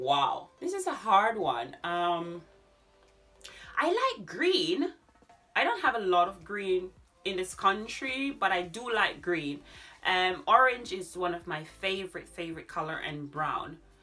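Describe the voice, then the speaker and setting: A woman speaks fairly slowly while music plays behind her. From Jamaica, Manchester parish. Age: 30s. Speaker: DIY and decor YouTuber. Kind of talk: casual Q&A vlog.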